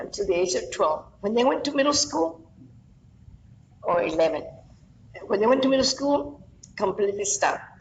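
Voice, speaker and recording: A woman with an American accent at a moderate pace, with very wide pitch swings and noticeable background noise. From Texas, San Antonio west side. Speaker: flamenco dancer and teacher. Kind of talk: oral history interview. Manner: halting, repetitive.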